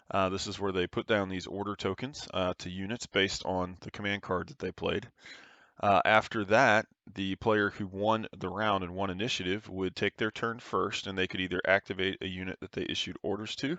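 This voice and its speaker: An unremarkable speaking voice from a man, pitched fairly low, moderately paced, with fairly even intonation. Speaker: tabletop game tutorial creator. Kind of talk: tutorial. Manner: casual, many filler words.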